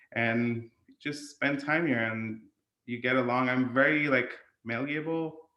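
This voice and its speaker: On a recording with audible room echo, a man with an American accent speaks at a medium pitch and a fairly slow pace. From India. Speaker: gym member, podcast guest. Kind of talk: casual interview chat.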